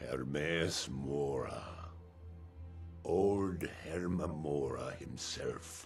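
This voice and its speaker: Using a put-on character voice with a very deep, low pitch, a man talks very slowly with long, frequent pauses over clear background noise. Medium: video game. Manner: solemn, measured.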